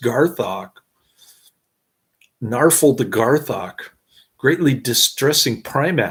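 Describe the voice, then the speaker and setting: Lively intonation in a somewhat breathy voice, delivered at a fairly slow pace. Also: man. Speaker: movie reviewer. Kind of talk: movie review, plot summary. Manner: slurred, stumbling over words.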